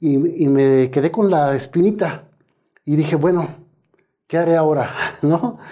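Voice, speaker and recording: The speaker talks at a fairly slow pace with long, frequent pauses and ordinary pitch variation. The tone is dark and mellow, and the loudness is very even. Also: man, fairly high pitch for a man. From Mexico, Michoacán. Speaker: astrophysicist. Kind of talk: interview. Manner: halting, with frequent fillers.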